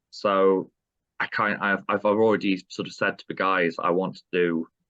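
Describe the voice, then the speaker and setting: A man with a Yorkshire accent, a very deep, low pitch and a bright, sharp tone, fairly even in intonation, in a dry, close sound with no echo. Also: quiet background. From South Yorkshire, between Sheffield and Barnsley. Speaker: metal band vocalist. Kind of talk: interview. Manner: halting, many fillers.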